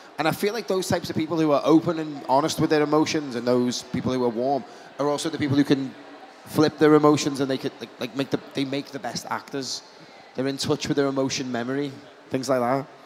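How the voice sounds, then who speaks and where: A man talks at a very fast pace, his pitch fairly high and his intonation fairly even. Light background noise sits behind him. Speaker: event moderator. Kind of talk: convention stage Q&A. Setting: stage with audience. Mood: warm, enthusiastic. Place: hall. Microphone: handheld.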